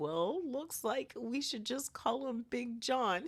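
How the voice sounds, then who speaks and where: This put-on character voice sounds cheerful, with a fairly high pitch and a fairly slow pace. The recording is very clean, with a silent background. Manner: goofy, cheerful.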